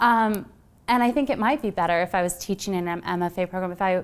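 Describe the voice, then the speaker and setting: A woman with an American accent has a normal speaking voice at medium pitch, ordinary pitch variation and a fairly quick pace, recorded very cleanly against a silent background. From US Midwest. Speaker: novelist. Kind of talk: author talk at library event. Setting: public library with audience.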